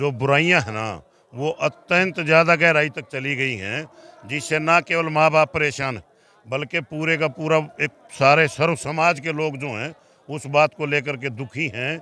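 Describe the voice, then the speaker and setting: Here a man speaks in a plain, everyday voice with ordinary pitch variation. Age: 60s. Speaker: khap leader. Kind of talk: interview. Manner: formal.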